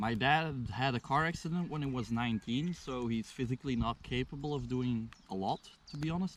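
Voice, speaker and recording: Someone speaks with a Flemish Belgian accent and lively intonation. The pace is fairly quick. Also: man. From Belgium (Flanders). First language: Flemish Dutch. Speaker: local host showing a visitor around. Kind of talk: casual chat.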